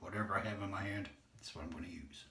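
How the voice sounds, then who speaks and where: A man speaks quietly, and audible room echo surrounds his voice. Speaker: shaving video creator. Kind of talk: casual tutorial. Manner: quiet while concentrating.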